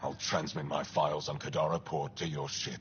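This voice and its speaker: A man does a put-on character voice, very deep and low in pitch. He moves at a fairly quick pace over clear background noise. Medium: machinima. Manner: guarded, terse.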